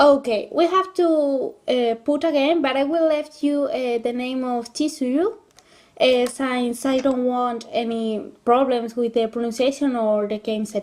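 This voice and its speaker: This woman has a high voice and a Spanish accent. She speaks at a fairly slow pace. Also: ordinary pitch variation. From Spain. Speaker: gaming YouTuber. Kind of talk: let's play commentary with reading aloud. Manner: halting.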